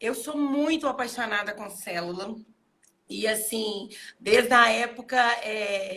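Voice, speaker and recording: A woman's fairly high, bright and sharp voice at a very slow pace, with long, frequent pauses. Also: ordinary pitch variation, big swings in loudness. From Minas Gerais. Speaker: pastor. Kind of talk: casual interview chat. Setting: livestream video call.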